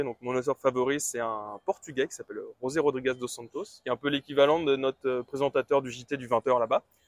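A man at medium pitch speaks at a fairly quick pace in a dry, close sound with no echo. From Brittany, France. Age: 20s. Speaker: entrepreneur running a book-summary website. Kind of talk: interview. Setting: outdoors.

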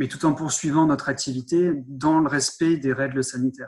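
Fairly even intonation shapes a man's speech, which goes at a moderate pace. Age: 30s. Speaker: sales manager at a dosimetry laboratory. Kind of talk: interview. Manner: hesitant, repeats words.

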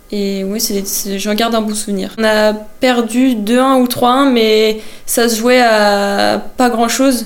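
In a room with audible echo, a woman with a fairly high pitch speaks very slowly in a monotone, flat intonation. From Brittany, France (Vannes area). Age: 20s. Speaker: footballer. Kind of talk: interview. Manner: hesitant with fillers.

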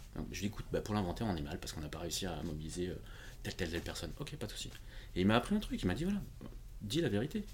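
A somewhat breathy, fairly low male voice at a very fast pace, with lively intonation and long, frequent pauses. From France, Portuguese family. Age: 40s. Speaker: independent IT consultant. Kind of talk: interview conversation.

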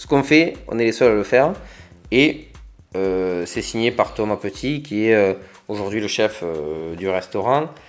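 A man's fairly low voice at a fairly slow pace, with lively intonation, big swings in loudness, and long, frequent pauses. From France, Hérault (Agde). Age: 30s. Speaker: entrepreneur. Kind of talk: interview. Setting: studio. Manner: halting.

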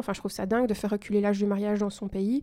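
A woman's voice, dark and mellow in tone. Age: 30s. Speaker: teacher and eco content creator. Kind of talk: casual chat.

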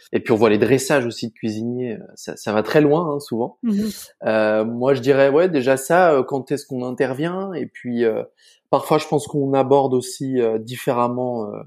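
Recorded very cleanly over a silent background, a man talks at a medium pitch and a moderate pace with ordinary pitch variation. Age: 20s. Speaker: pastry chef. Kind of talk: interview conversation. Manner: hesitant, many fillers.

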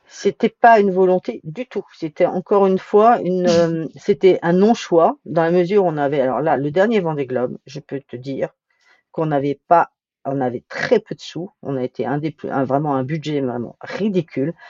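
At a moderate pace, a woman speaks with lively intonation in a fairly low voice. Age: 60s. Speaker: sailing project manager, skipper's wife. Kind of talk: interview. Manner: halting, frequent repetitions.

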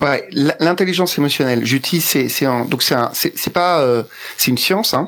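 Fairly high in pitch, a man talks at a moderate pace with ordinary pitch variation and very even loudness. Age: 40s. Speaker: sales consultant and entrepreneur. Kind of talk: interview. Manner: halting, many fillers and repetitions.

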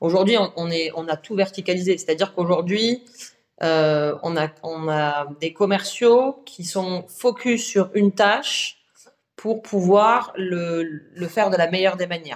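This woman talks at a very slow pace. Her pitch sits in the medium range and varies in an ordinary way. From southern France. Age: 30s. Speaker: entrepreneur, agency founder. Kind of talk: podcast interview. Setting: at the guest's office.

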